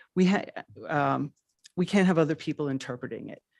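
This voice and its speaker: Someone speaks with a New York accent against a quiet background. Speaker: public commenter at town council. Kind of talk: public comment. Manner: halting.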